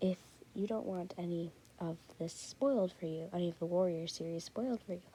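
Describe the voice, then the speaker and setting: A quiet woman's voice, fairly low in pitch with ordinary pitch variation, a dark, mellow tone and a fairly quick pace. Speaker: YouTuber. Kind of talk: casual vlog commentary.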